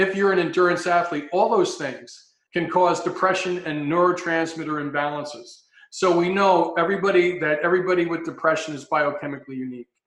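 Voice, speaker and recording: Moving at a fairly quick pace, a man speaks high in pitch with fairly even intonation. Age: 60s. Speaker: health consultant, former paramedic. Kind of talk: interview talk.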